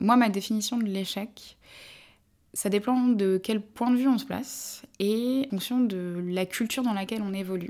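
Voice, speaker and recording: A woman with an unremarkable speaking voice talks at a medium pitch and a fairly slow pace. The recording is very clean, with a silent background. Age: 30s. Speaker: brand marketing executive. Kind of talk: interview.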